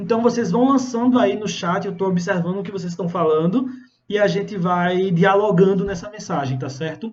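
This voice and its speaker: A man with a high voice speaks at a moderate pace. The room echo is audible. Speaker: pastor. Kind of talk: sermon. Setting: Instagram live stream. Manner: animated.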